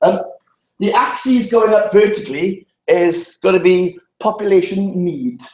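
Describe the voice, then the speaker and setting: With a South Welsh accent, a man speaks in a dark, mellow tone with ordinary pitch variation. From Wales, Llanelli. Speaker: public health speaker. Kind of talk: seminar talk. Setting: seminar room with audience. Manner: fast.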